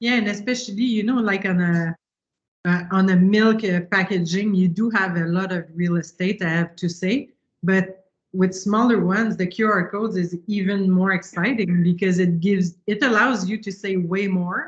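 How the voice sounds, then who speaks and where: A somewhat breathy woman's voice with a Quebec accent and fairly even intonation. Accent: Quebec French accent, noticeable. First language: French. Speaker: marketing agency strategist. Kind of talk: panel Q&A discussion.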